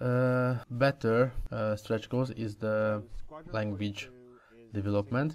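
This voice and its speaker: A man speaks at a very slow pace in a fairly low pitch with fairly even intonation. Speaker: gaming commentator. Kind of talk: casual commentary talk. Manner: hesitant, many filler sounds.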